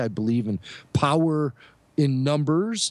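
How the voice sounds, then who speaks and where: On a very clean recording with a silent background, a man talks at medium pitch with lively intonation. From Chicago. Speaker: podcast co-host and radio producer. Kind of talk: casual interview chat.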